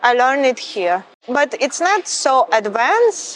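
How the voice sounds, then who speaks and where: A woman with a Ukrainian accent speaks with lively intonation. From Ukraine. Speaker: model. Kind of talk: interview.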